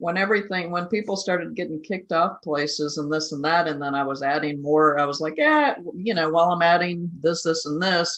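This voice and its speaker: A woman with an unremarkable speaking voice and fairly low pitch talks at a fairly quick pace, with fairly even intonation and hardly any pauses. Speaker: podcast host. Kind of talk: casual podcast conversation.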